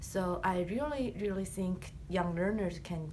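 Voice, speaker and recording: A woman in a Chinese accent at a very slow pace, with audible room echo. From China. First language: Chinese or Korean. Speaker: graduate student. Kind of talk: class presentation.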